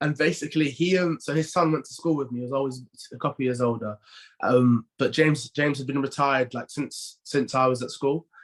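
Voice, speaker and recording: Fairly quick and fairly high in pitch, a man talks with fairly even intonation in a London accent. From North London, England. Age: 20s. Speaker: professional rugby player. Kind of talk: podcast interview. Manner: halting, many repeated words and fillers.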